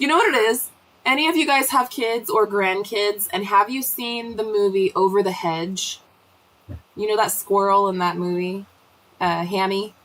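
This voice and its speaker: Over noticeable background noise, a woman speaks at a medium pitch with ordinary pitch variation. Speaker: homesteading livestream host. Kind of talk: casual live chat. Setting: livestream from the cabin. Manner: fast.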